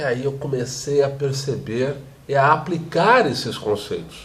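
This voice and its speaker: A man's fairly high, somewhat breathy voice at a fairly slow pace, with audible room echo. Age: 40s. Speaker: teacher. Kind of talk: vlog monologue. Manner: fluent, well-spoken.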